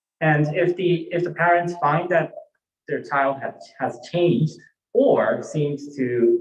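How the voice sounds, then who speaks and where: With a Japanese accent, a man speaks at a fairly high pitch. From Japan (born in Hawaii, moved to Japan at eight). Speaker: Buddhist minister. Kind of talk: sermon. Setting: temple service, livestreamed. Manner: halting, many fillers.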